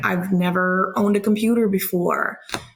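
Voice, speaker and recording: Speaking fairly slowly, a woman has a somewhat breathy voice at a medium pitch. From Ukraine. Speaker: podcast guest. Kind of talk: casual interview. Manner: animated.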